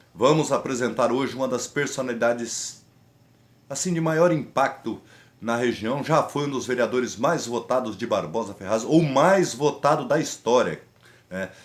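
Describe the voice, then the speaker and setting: A normal speaking voice from a man, medium in pitch with ordinary variation, at a moderate pace. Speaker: podcast host. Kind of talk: podcast intro. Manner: upbeat.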